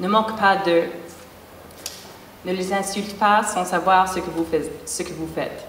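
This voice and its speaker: A woman with a non-native accent speaks at a medium pitch in a monotone, flat way, leaving long, frequent pauses. Audible room echo and noticeable background noise are present. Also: fairly slow pace. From English-speaking Canada. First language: English (speaking French). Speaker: performance artist. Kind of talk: spoken word performance.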